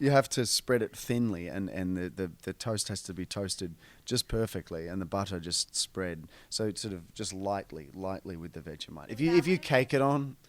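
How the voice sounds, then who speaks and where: In an Australian accent, a man with a fairly low voice talks at a moderate pace with lively intonation and big swings in loudness. The recording is very clean with a silent background. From Australia, northern beaches of Sydney. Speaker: film actor. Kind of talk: radio interview. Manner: halting, many fillers and repeats.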